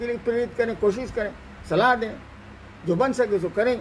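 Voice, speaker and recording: The voice is a man's, extremely high in pitch. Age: 70s. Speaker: spiritual teacher. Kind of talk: spiritual discourse.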